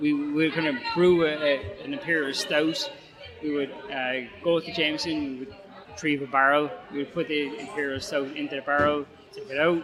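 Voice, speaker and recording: Over music in the background and audible room echo, a man with an Irish accent and a fairly high pitch speaks at a moderate pace with fairly even intonation and big swings in loudness. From Ireland. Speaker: head brewer. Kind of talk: interview. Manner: halting.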